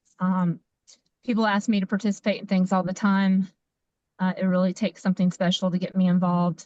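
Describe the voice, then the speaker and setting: With a strong Appalachian accent, a woman speaks at a fairly quick pace and medium pitch, somewhat breathy, monotone and flat, her loudness very even in a dry, close sound with no echo. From US South. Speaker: community member. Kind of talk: self-introduction on a community call.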